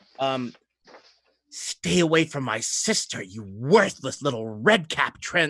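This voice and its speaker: A man puts on a character voice at a medium pitch, speaking at a fairly slow pace. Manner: hissing, menacing.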